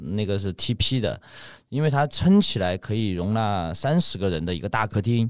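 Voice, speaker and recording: A man with a fairly low pitch and an ordinary speaking voice. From Sichuan, Ya'an. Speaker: shop owner. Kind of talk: casual chat.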